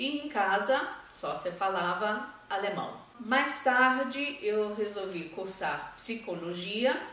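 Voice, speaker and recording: A woman with a fairly high pitch speaks at a very slow pace with lively intonation. There is noticeable background noise and audible room echo. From Brazil, raised in German-speaking family. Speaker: language school founder and German teacher. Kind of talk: testimonial interview.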